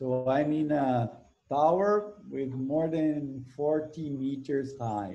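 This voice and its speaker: With a Brazilian accent, a man speaks very slowly in a dark, mellow tone at a fairly high pitch with ordinary pitch variation. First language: Portuguese. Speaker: ecology professor. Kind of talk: interview. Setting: video call. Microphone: video call.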